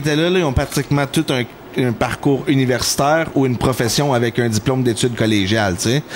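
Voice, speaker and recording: A man talks very fast at a medium pitch in an animated tone with ordinary pitch variation. Noticeable background noise sits behind him. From Quebec, Mascouche-Masson area. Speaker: R&B and rap singer. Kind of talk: casual chat. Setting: podcast recording.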